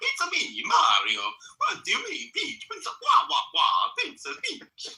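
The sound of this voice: A man puts on a character voice with an extremely high pitch, speaking at a moderate pace.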